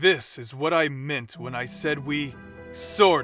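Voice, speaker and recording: A man uses a put-on character voice at a medium pitch and a fairly slow pace. Faint music plays in the background. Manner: stern, formal.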